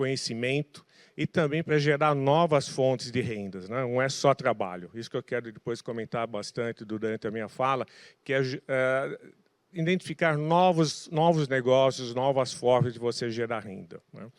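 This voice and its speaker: A man speaks in a plain, everyday voice at medium pitch, with ordinary pitch variation and a moderate pace. The recording is very clean and dry, with a silent background, close sound and no echo. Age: 60s. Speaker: tech industry association president. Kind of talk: panel talk.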